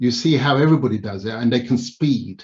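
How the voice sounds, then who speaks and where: A man speaks at a medium pitch with a Yoruba accent, his voice somewhat breathy. His intonation stays fairly even. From Nigeria (Lagos), then England from age seven. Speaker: public speaker and commentator. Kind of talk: Q&A answers at a conference.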